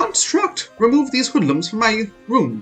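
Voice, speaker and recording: A put-on character voice speaks at a fairly high pitch and fairly slow pace, with very wide pitch swings. Faint music plays in the background. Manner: indignant, commanding.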